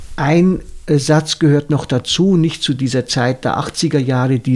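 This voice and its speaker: A man speaks very slowly in a fairly high pitch. His intonation stays fairly even. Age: 60s. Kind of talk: casual chat.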